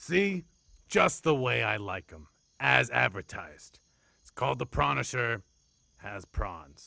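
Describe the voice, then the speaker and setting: A man's cartoonish character voice, fairly low in pitch, with very wide pitch swings, a fairly slow pace and long, frequent pauses. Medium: puppet. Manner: grumpy, ranting.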